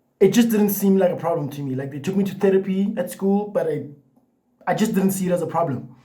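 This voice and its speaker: A high-pitched man with ordinary pitch variation, heard with audible room echo. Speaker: vlogger. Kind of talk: personal vlog talk to camera. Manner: repetitions and hesitations; casual, filler-heavy.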